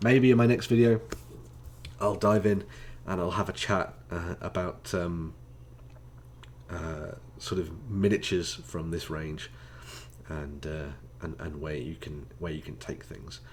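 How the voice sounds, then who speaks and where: Speaking at a fairly slow pace with long, frequent pauses, a man with a very deep, low pitch and vocal fry uses lively intonation and big swings in loudness. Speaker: tabletop gaming youtuber. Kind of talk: casual monologue video. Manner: hesitant with many fillers.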